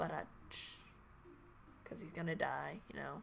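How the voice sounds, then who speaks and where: A woman speaks with music in the background. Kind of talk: let's play commentary.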